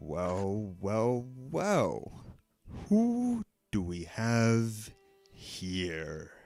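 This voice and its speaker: A man does a rumbling put-on character voice at a fairly low pitch with ordinary pitch variation. He talks at a very slow pace with long, frequent pauses. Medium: actual play. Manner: sly, teasing.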